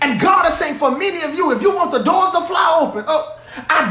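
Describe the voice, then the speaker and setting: In a raised, projected voice with an animated tone, a man speaks at a fairly quick pace with ordinary pitch variation, amid noticeable background noise and audible room echo. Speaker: pastor. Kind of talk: sermon. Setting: livestream. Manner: loud.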